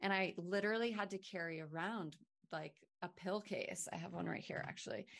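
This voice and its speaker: A woman with an American accent, medium-pitched with vocal fry, fairly quick and fairly even in intonation. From Maine, US. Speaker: wellness brand founder. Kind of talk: podcast interview.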